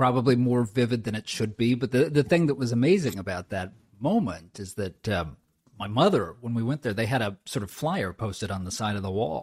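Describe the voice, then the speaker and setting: Speaking with an American accent at a fairly quick pace, a man with a medium pitch, lively intonation and a somewhat breathy voice is heard in a very clean recording with a silent background. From Southern California (inland). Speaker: author and former speechwriter. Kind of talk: interview.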